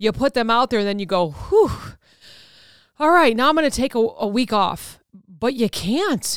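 A woman at a moderate pace, animated in tone with lively intonation, on a very clean recording with a silent background and a dry, close sound with no echo. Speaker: podcast host and author. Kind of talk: solo motivational talk. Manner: animated, loud.

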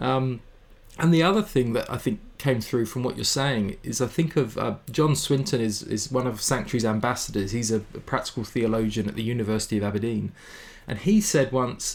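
A man with a British accent talks at a fairly quick pace, his medium pitch rising and falling in an ordinary way. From England. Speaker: mental health ministry CEO. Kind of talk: interview conversation.

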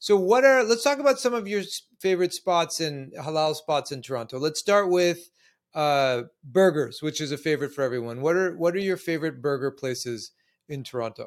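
With a normal speaking voice, a man talks at a fairly quick pace and fairly high pitch with lively intonation, in a very clean recording with a silent background. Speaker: podcast host. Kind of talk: interview.

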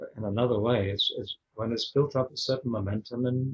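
A man speaks at a moderate pace with fairly even intonation and a somewhat breathy voice, the sound dry and close with no echo. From Scotland. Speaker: spiritual teacher. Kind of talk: casual chat.

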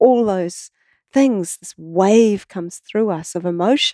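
A woman with a strong New Zealand accent speaks fairly slowly in a dark, mellow tone with ordinary pitch variation. The sound is dry and close with no echo, over a quiet background. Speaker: water researcher and artist. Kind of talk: casual interview conversation. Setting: in person studio.

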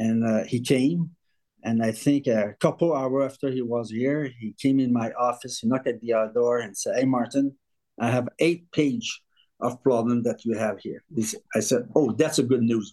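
A man with a French accent talks at a moderate pace in a medium pitch. His tone is dark and mellow, and his intonation stays fairly even. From Quebec, Canada. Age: 50s. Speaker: rental company owner. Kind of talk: casual interview. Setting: video call.

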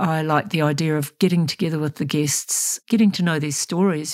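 A woman with a very deep, low pitch talks in a New Zealand accent. Her pace is moderate and her pitch varies in an ordinary way. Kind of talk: interview.

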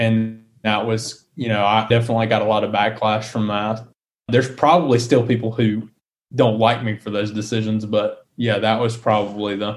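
At a moderate pace, a man with a Southern US accent speaks at a medium pitch with flat, monotone intonation. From US South, South Carolina. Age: 20s. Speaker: wealth management business owner. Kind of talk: interview.

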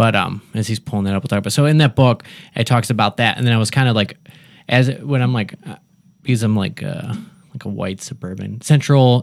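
A man speaks in a plain, everyday voice at a medium pitch. He talks fairly quickly, his pitch varying in an ordinary way. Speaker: podcast guest. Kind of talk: casual chat. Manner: casual, chatty, laughs often.

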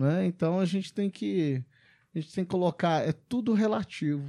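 Here a man speaks with a high pitch and ordinary pitch variation at a moderate pace. The recording is very clean, with a silent background. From Brazil, Belo Horizonte. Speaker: podcast host, franchise consultant. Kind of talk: casual interview chat. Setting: studio.

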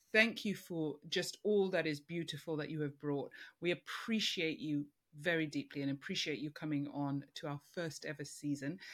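The recording is very clean, with a silent background. A woman speaks at a moderate pace with a very deep, low pitch and ordinary pitch variation. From African, third culture kid. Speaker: podcast host and coach. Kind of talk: interview conversation.

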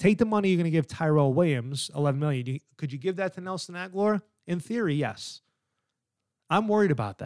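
A man's high-pitched, animated voice with an American accent, very fast pace and lively intonation, dry and close with no echo. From New York. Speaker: sports podcast host. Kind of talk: solo sports commentary.

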